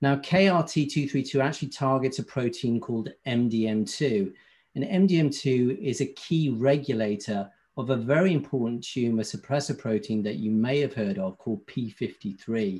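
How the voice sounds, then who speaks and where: With a British accent, a man speaks at a moderate pace and medium pitch, varying it in an ordinary way against a quiet background. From UK. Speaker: pharmaceutical company medical affairs representative. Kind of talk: industry presentation.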